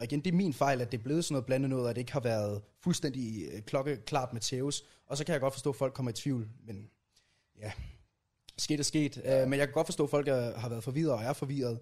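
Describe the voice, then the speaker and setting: Speaking at a fairly quick pace, the man sounds somewhat breathy. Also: medium pitch for a man, ordinary pitch variation. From rural Jutland, Denmark. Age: 20s. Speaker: YouTuber and video editor. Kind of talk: casual interview chat. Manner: halting, repeats words.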